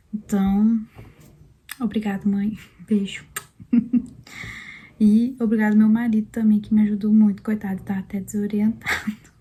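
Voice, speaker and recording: Soft-spoken and somewhat breathy, a woman with a dark, mellow tone and fairly high pitch speaks in a monotone, flat way with long, frequent pauses. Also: moderate pace. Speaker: vlogger, mother sharing birth story. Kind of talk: personal testimony, casual vlog. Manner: soft-spoken, talking quietly.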